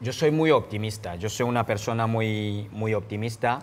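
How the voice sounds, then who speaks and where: This man has a fairly low pitch. He speaks at a very slow pace. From Cameroon. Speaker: human rights activist; guest. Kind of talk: interview testimony. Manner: frequent hesitations (eh). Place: studio. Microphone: lapel.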